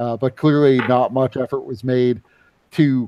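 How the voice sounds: A natural reading voice carries the words with fairly even intonation.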